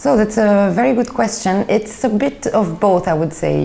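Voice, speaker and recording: A woman with a French accent uses lively intonation against noticeable background noise. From Belgium (Brussels), Greek family. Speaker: film critic. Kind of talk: interview.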